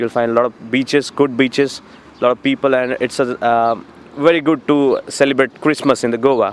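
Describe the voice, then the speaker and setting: A man with a Marathi accent speaks fairly quickly in a monotone, flat intonation. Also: medium pitch for a man. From India. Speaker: student. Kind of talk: interview. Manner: hesitant, many fillers.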